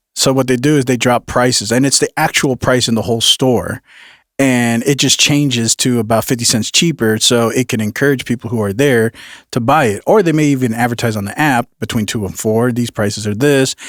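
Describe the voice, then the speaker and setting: Speaking at a fairly quick pace with an American accent, a man uses a medium pitch and fairly even intonation, recorded very cleanly over a silent background with a dry, close sound and no echo. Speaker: podcast host. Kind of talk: casual chat.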